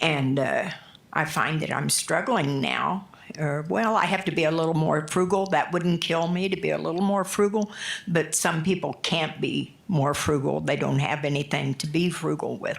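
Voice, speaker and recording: A woman with a very deep, low pitch talks at a moderate pace, her loudness very even and her pitch variation ordinary. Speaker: public commenter at city council meeting. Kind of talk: public comment testimony.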